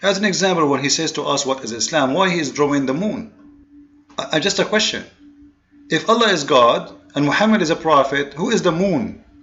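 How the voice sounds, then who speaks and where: A man's fairly high voice, fairly quick and lively in intonation, over noticeable background noise. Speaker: religious commentator, video blogger. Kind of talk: monologue commentary video. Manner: fast; halting, with many repetitions and fillers.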